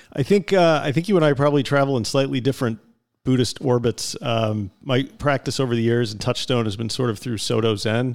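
A man speaks with an American accent at a medium pitch. His pace is fairly quick and his pitch variation ordinary. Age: middle-aged. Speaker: podcast co-host. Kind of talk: casual chat; reading an introduction. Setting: video call.

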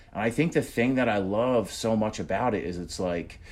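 With a New Jersey accent, a man speaks at a fairly quick pace and medium pitch, using lively intonation. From New Jersey, US (Union, central north Jersey). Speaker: comedian and impressionist. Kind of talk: casual chat.

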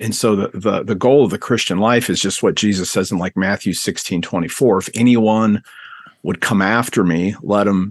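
An unremarkable speaking voice belongs to this man, pitched fairly low. He keeps a moderate pace and a fairly even intonation. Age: 50s. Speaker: seminary professor of biblical studies. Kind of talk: interview about his book.

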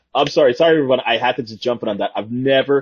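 Very fast speech from a man with medium pitch, a slightly husky edge, and ordinary pitch variation

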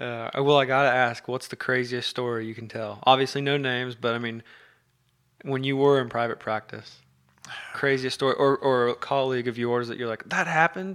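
At a fairly quick pace, a man with a medium pitch speaks with fairly even intonation but big swings in loudness. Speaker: podcast host. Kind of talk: casual chat.

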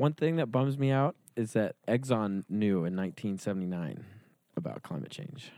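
A man talks with lively intonation at a moderate pace. It's an ordinary speaking voice. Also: medium pitch for a man. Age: 20s. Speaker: podcast host. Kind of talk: monologue intro; casual chat.

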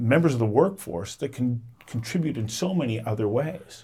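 A somewhat breathy male voice moves with lively intonation. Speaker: podcast host. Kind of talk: interview intro and conversation.

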